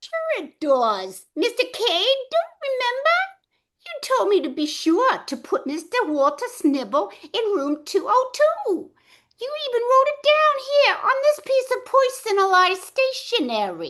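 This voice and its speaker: A woman's put-on character voice, extremely high, with very wide pitch swings at a fairly slow pace. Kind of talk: old-time radio drama performance.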